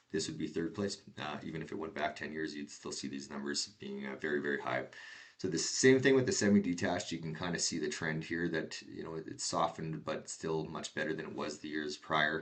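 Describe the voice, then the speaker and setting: With a Canadian accent, a man talks at a fairly quick pace with hardly any pauses, his very deep, low pitch showing ordinary variation and vocal fry. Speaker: real estate agent. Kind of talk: market update presentation. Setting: screen share recording. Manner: fast.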